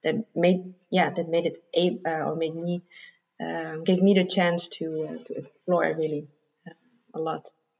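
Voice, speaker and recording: A woman with vocal fry and a fairly low pitch speaks at a moderate pace with fairly even intonation. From Germany. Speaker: coach and yoga teacher. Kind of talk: interview.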